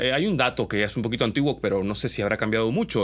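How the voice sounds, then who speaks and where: In a very clean recording with a silent background, a man talks at a very fast pace. His voice has vocal fry and lively intonation. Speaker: commercial voice-over artist. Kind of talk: casual talk to camera.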